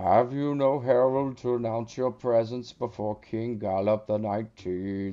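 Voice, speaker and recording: A man's put-on character voice at a medium pitch, with fairly even intonation and a moderate pace. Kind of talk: formal, pompous. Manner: haughty.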